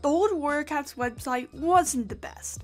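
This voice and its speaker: Music plays in the background as a woman speaks fairly slowly at a high pitch. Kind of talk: scripted video essay narration.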